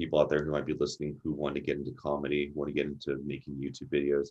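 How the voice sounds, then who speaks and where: His words come out very fast. This man's voice is very deep and low. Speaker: podcast host. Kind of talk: casual interview chat.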